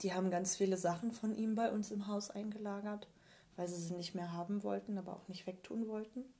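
A woman at a medium pitch speaks at a fairly quick pace in a monotone, flat intonation. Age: 30s. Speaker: colour and style consultant. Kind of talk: interview about personal grief experiences. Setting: in person at her home.

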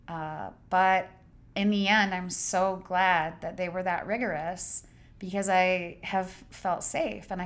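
The voice has monotone, flat intonation. Audible room echo is present. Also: woman. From Idaho, US. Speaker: memoir author and writing academic. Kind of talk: casual interview conversation. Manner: halting with repeated words.

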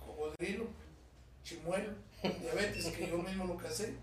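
With a Guatemalan accent, a man speaks with ordinary pitch variation amid noticeable background noise and audible room echo. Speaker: actor and former radio host. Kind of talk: casual chat.

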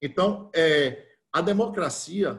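The speaker here is a man. His voice rises and falls with ordinary pitch variation. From Bahia, Brazil (interior, Cruz das Almas). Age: 50s. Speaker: football club council candidate. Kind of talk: interview. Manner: halting.

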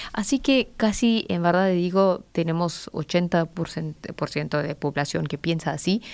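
This woman speaks very slowly in a fairly low pitch with ordinary pitch variation. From Pakistan, near Afghan border. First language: Pashto or Urdu (speaking Spanish). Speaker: political analyst. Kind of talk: radio interview. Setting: radio studio. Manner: halting.

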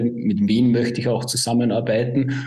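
A dark, mellow, somewhat breathy tone with a slight Upper Austrian accent, at a moderate pace, in audible room echo. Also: man. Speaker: positioning consultant. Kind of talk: interview.

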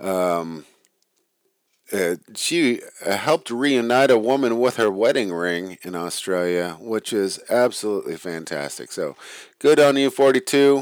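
A man with an unremarkable speaking voice talks at a fairly slow pace with lively intonation. The recording is very clean, the background silent. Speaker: podcast host and founder. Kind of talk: casual solo podcast monologue.

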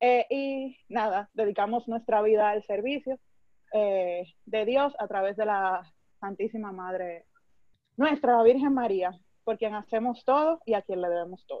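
A woman speaks at a fairly slow pace in an unremarkable speaking voice, with ordinary pitch variation. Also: fairly high pitch for a woman. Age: 20s. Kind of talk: religious talk.

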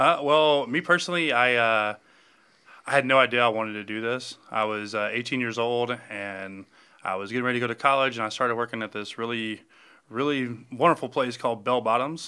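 At a fairly quick pace, a man with a Southern US accent talks at a medium pitch with ordinary pitch variation. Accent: US South. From Alabama. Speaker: bar owner. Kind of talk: casual chat.

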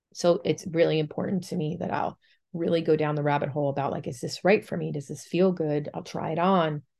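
A woman speaks fairly quickly in a very deep, low pitch. Her intonation is fairly even, and vocal fry comes through. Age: 40s. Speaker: podcast host and poet. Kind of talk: casual monologue.

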